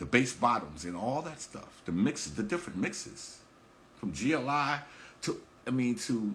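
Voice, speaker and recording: A man in a New York accent, medium in pitch and moderate in pace, with vocal fry and very wide pitch swings. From New York, the Bronx. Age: 60s. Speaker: hip hop promoter and podcast host. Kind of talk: casual talk on a livestream. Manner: halting, repeats words.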